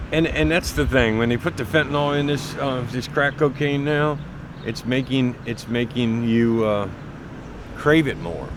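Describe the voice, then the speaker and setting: This man speaks at a moderate pace and medium pitch, with ordinary pitch variation. Background noise is noticeable. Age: 60s. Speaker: person with drug addiction. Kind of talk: documentary interview.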